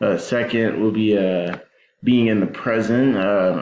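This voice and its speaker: Audible room echo surrounds a man whose fairly low voice moves at a fairly slow pace. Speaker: educator in higher education. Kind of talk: recorded presentation. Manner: monotone; hesitant, many fillers.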